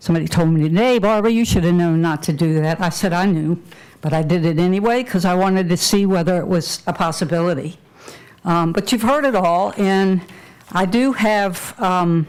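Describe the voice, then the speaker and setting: A woman speaks at a moderate pace in a medium pitch, her loudness very even and her pitch varying in an ordinary way. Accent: Virginia. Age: 70s. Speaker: public commenter. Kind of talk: public comment at a county meeting. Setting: public meeting hall with audience.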